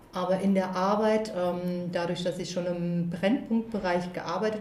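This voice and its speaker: A woman's fairly low voice with ordinary pitch variation, plus audible room echo and noticeable background noise. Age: 40s. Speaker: school social worker. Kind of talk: casual interview. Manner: hesitant with fillers.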